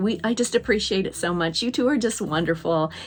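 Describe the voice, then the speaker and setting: Her somewhat breathy voice sits at a medium pitch as this woman speaks at a fairly quick pace. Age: 60s. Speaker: Disney collector YouTuber. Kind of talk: casual video talk. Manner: halting, many fillers.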